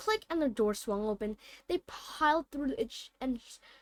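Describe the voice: Lively intonation over plain reading aloud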